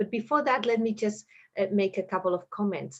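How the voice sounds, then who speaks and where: With a Spanish accent, a woman speaks at a medium pitch with ordinary pitch variation. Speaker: moderator. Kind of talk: online panel discussion. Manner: halting.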